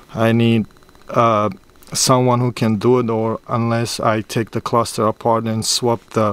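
Dry sound with no echo carries a man's monotone, flat intonation. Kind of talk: tutorial. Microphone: phone near.

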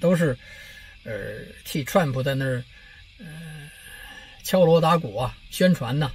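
Pausing long and often, a man with a fairly high voice talks at a fairly slow pace, his loudness swinging widely and his intonation lively. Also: dry sound with no echo. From China. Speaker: political commentary vlogger. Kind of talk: casual monologue vlog. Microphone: phone near.

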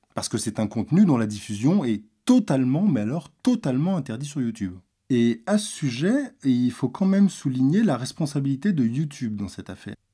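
The voice is somewhat breathy with a dark, mellow tone, moving fast-ish with very wide pitch swings on a very clean recording with a silent background. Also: man, medium pitch for a man. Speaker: video commentator. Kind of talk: explanatory monologue, commentary on a video. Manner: serious, measured, explanatory.

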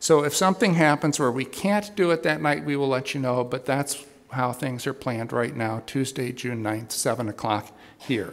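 The pace stays moderate. A man delivers the lines with lively intonation. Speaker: pastor giving announcements. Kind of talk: church announcements. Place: church. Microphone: podium.

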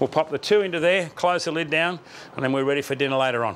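Speaking at a fast pace, a man has a fairly bright tone, fairly high pitch and ordinary pitch variation.

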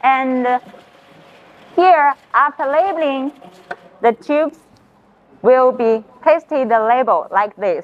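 Very slow speech from a woman, pitched high. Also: ordinary pitch variation. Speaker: factory tour guide. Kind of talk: tour commentary. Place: factory.

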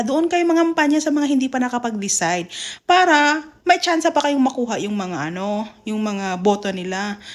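The tone is animated, with very wide pitch swings. The pace stays moderate. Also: woman. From Mindanao, Philippines; Philippines. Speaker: YouTuber. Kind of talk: casual vlog commentary. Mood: exasperated, chiding. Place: home room. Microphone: phone near.

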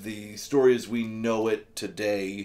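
A man speaks very slowly with fairly even intonation. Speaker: book reviewer. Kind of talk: casual book review vlog. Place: home room.

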